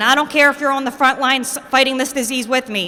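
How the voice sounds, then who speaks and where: A woman's high-pitched, raised and projected voice with a passionate tone and ordinary pitch variation, over noticeable background noise. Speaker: recovery advocate and adjunct lecturer. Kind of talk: rally speech. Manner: loud, passionate.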